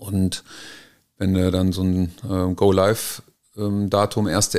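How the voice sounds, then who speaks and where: This man has a fairly low pitch and a flat, monotone delivery. The recording is very clean, with a silent background. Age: 40s. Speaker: business consultant. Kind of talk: interview. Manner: halting.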